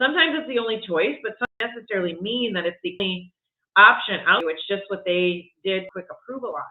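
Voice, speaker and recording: Her voice medium in pitch, a woman speaks at a very fast pace with lively intonation. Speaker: real estate vlogger. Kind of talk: live stream talk. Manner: halting.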